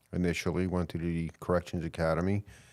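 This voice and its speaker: In a very clean recording with a silent background, a man with a New York accent speaks in a very deep, low pitch. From New York (Queens / Long Island). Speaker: police chief. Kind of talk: podcast interview.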